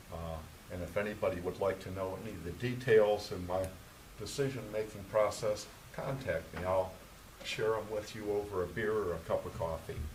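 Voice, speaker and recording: A man's fairly low voice at a moderate pace with ordinary pitch variation, plus audible room echo and noticeable background noise. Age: 70s. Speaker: planning commission member. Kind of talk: public meeting remarks.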